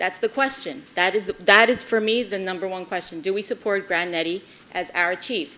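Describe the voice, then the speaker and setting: A woman's bright, sharp, passionate voice, medium in pitch, with ordinary pitch variation and a moderate pace. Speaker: mayor chairing city commission meeting. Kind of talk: public meeting debate.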